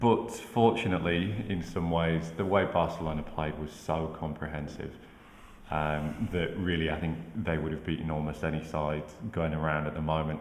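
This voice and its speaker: Very deep, low male voice with fairly even intonation at a moderate pace, plus audible room echo and noticeable background noise. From northern England, Manchester. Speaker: football pundit. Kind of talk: casual chat.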